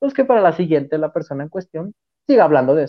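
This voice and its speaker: Very fast speech from a man with a fairly high pitch. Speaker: football podcast host. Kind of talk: casual sports chat.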